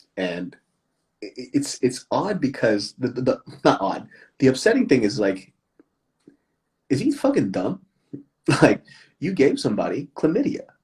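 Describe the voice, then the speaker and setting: Long, frequent pauses break up this man's speech. Between them he keeps a moderate pace. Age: 30s. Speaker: comedian. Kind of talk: casual chat. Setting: instagram live stream. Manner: animated.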